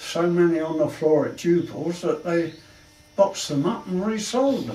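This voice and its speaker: A man speaks with a high voice for a man. Noticeable background noise and audible room echo come through. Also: ordinary pitch variation, moderate pace. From London, England. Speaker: war veteran. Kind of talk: life story interview. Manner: halting.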